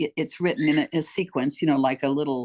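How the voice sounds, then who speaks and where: Against a quiet background, a woman speaks with a very deep, low pitch, and the sound is dry and close with no echo. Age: 80s+. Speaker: author and motivational speaker. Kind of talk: casual interview chat. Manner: animated.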